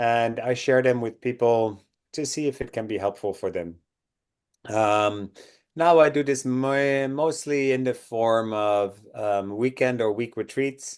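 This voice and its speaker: A man with a Dutch accent talks at a fairly slow pace, his pitch medium with ordinary variation. The background is quiet. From Netherlands. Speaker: breathwork and cold exposure instructor. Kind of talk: interview.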